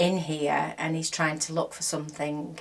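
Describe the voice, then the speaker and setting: A soft-spoken woman with a very deep, low voice and fairly even intonation, over noticeable background noise. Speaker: crochet vlogger. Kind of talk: casual chat. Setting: home craft room.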